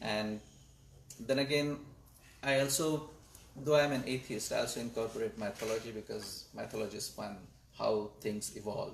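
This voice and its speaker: A man with a Marathi accent speaks at a moderate pace and medium pitch, somewhat breathy. His pitch varies in an ordinary way, with long, frequent pauses. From India (Maharashtra). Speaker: astronomer and data scientist. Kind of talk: panel interview. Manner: hesitant, with fillers.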